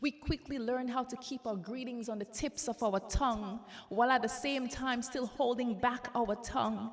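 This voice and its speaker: Over noticeable background noise, a woman talks with hardly any pauses, her pitch high and her intonation fairly even. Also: moderate pace. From Grenada. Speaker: spoken word poet. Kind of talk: spoken word poetry performance.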